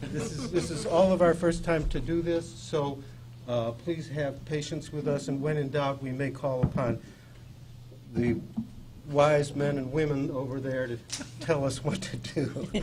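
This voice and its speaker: A man's fairly high-pitched voice at a fairly slow pace, with long, frequent pauses, fairly even intonation, audible room echo and noticeable background noise. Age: 70s. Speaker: advisory board chairman. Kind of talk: public meeting chairing. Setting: public board meeting room.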